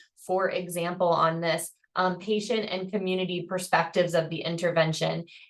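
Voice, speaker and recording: A plain, everyday voice at a moderate pace. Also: woman. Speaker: professor. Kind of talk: webinar presentation.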